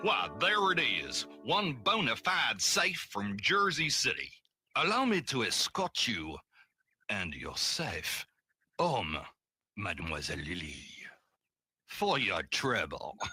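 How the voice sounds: A man does a raspy put-on character voice with a fairly high pitch, speaking at a fairly slow pace with long, frequent pauses. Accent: French.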